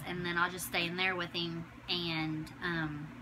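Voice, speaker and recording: A woman speaks with a fairly low pitch and monotone, flat intonation. Noticeable background noise runs underneath. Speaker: new mother. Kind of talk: casual talk to camera. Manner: many filler words. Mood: warm, affectionate. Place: home room. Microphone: phone near.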